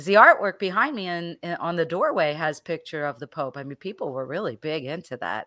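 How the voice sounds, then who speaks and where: A woman's fairly low-pitched, bright, sharp voice with lively intonation and big swings in loudness, at a fairly quick pace with hardly any pauses, in a dry, close sound with no echo, on a very clean recording with a silent background. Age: 60s. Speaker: holistic health teacher and coach. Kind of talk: casual chat. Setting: live stream.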